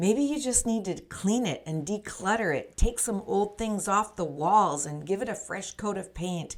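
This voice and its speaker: A woman with a plain, everyday voice speaks at a moderate pace and a medium pitch, with lively intonation. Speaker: life coach. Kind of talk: motivational podcast talk to camera. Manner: upbeat, encouraging.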